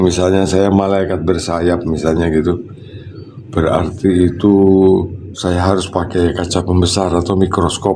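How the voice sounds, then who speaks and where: Against noticeable background noise and audible room echo, a man talks at a moderate pace. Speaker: water treatment consultant vlogger. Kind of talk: casual livestream chat. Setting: high up overlooking Surabaya.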